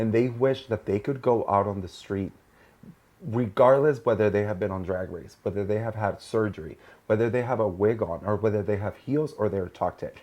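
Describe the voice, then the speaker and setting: Against a quiet background, a man with a Mexican accent talks at a fairly quick pace in a fairly low pitch. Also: ordinary pitch variation. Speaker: podcast host. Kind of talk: casual chat.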